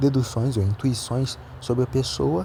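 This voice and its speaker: A man speaks in a somewhat breathy voice. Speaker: amateur philosophy vlogger. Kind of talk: casual monologue. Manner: halting.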